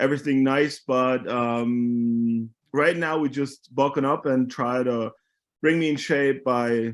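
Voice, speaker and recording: The speaker is a man with a Bavarian accent. His voice sits fairly high, with ordinary pitch variation. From Germany (Munich). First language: German. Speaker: American football player. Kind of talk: casual chat.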